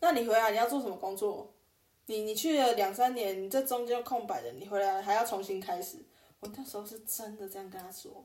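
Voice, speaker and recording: A normal speaking voice, this woman has a fairly high pitch, talks at a fairly quick pace, and shows big swings in loudness with ordinary pitch variation. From Taiwan, New Taipei (Sanchong). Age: 30s. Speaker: podcast co-host, working holiday maker. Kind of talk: casual chat.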